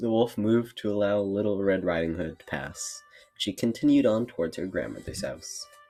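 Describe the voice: What you hear is plain reading aloud.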